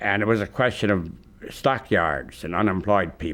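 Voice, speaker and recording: The recording is very clean, with a silent background. A man with an American accent speaks at a fairly low pitch. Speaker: oral historian and radio host. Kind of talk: interview answer.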